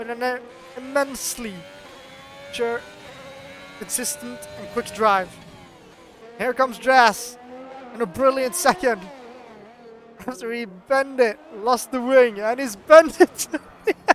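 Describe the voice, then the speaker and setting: In a Norwegian accent, the speaker goes at a fairly slow pace with long, frequent pauses, over noticeable background noise. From Norway. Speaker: sim racing commentator. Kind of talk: live commentary. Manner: animated.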